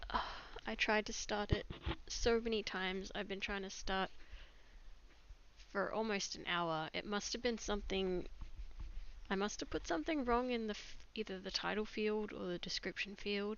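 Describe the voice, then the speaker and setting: A soft-spoken woman talks at a medium pitch. She leaves long, frequent pauses. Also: ordinary pitch variation, moderate pace. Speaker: digital artist streamer. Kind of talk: live stream chat while drawing. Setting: live stream at computer. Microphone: microphone too quiet.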